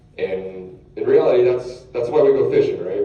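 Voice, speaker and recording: Noticeable background noise and audible room echo accompany a man speaking at a fairly quick pace. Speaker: fishing guide. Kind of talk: lecture. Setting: stage with audience. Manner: loud.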